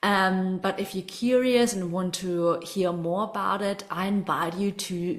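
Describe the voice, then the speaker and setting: Noticeable background noise accompanies a fairly slow speaker with ordinary pitch variation. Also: woman. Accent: German. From Germany. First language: German. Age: 20s. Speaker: spiritual coach. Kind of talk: online masterclass. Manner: animated.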